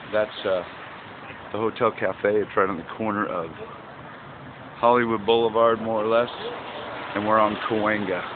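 A man talks at a fairly slow pace with a fairly low pitch and fairly even intonation. Faint background noise sits behind him.

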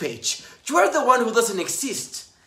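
Audible room echo surrounds a man who talks at a moderate speed. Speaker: actor. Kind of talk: dramatic monologue performance. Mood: scornful, confrontational. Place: home room. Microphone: phone near.

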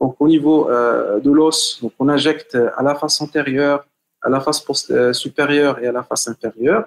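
A man speaks at a moderate pace with fairly even intonation and a fairly high pitch. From Morocco. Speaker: hand surgeon; presenter. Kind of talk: webinar lecture. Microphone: video call.

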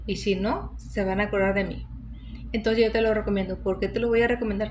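At a fairly quick pace, a woman speaks over light background noise. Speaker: home health tips vlogger. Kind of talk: casual vlog chat. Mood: warm, encouraging. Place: home room. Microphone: phone near.

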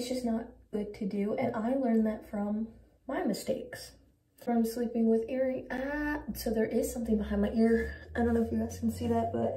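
A woman speaks at a moderate pace against audible room echo. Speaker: skincare vlogger. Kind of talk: casual vlog chat.

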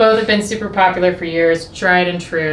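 A woman talks at a moderate pace, her fairly low pitch paired with a fairly bright tone, over faint background noise.

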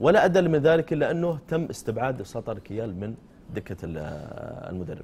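A man with vocal fry, very wide pitch swings and big swings in loudness, at a fairly slow pace over light background noise. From Saudi Arabia. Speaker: TV sports show host. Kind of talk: press review and discussion. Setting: studio. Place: studio. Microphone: lapel.

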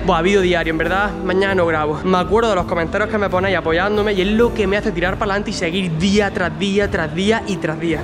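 A man speaks with fairly even intonation. Clear music is heard in the background. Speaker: vlogger. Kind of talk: casual vlog chat. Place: gym. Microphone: phone near.

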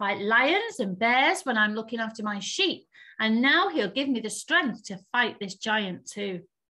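The pitch moves in an ordinary way as someone reads aloud in a natural voice.

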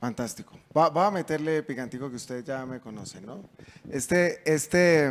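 Speaking at a fairly slow pace, a man talks with a Bogotá accent. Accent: Bogotá Colombian Spanish. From Colombia, Bogotá. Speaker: panel moderator. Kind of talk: panel moderation. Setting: conference stage with audience. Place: stage. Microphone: handheld.

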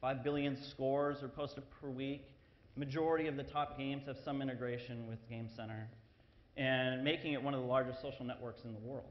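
A very fast pace with fairly even intonation. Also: man. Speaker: presenter. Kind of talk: conference talk. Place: hall.

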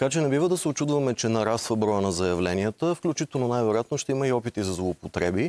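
A man speaks very fast with hardly any pauses, lively intonation and very even loudness. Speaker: lawyer and former member of parliament. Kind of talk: TV interview. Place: studio. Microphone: lapel.

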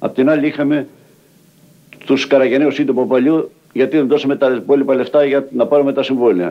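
At a moderate pace, a man speaks with fairly even intonation at a fairly high pitch. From Arta, Epirus, Greece; Epirus, Greece. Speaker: settler, former itinerant worker; interviewee. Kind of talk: documentary interview testimony. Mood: earnest, aggrieved. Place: home room. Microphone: old recording.

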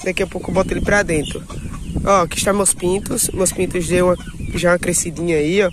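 A high-pitched male voice with fairly even intonation, over noticeable background noise. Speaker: YouTuber, small-scale poultry keeper. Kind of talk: casual vlog. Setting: outdoors at home.

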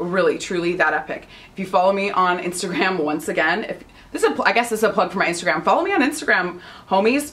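Her intonation sounds lively. The woman talks fairly quickly. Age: 30s. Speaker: fashion and beauty vlogger. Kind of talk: casual vlog talk to camera. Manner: animated. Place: home room. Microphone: phone near.

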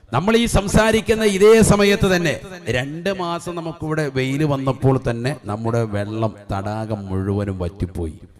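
Through noticeable background noise, a man at a medium pitch talks with very wide pitch swings. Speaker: Islamic preacher. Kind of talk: sermon. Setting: religious gathering with audience.

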